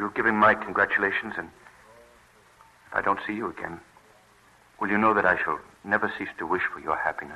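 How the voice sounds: In a put-on character voice, a man with fairly low pitch and a bright, sharp tone with a slightly husky edge and vocal fry talks at a fairly quick pace, with fairly even intonation and long, frequent pauses.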